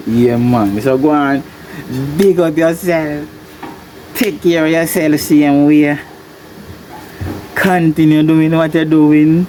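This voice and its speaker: Speech comes at a very slow pace in a Jamaican accent. Noticeable background noise runs underneath. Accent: Jamaican Patois-accented English. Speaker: farmer and video blogger. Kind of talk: casual monologue to camera. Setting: greenhouse.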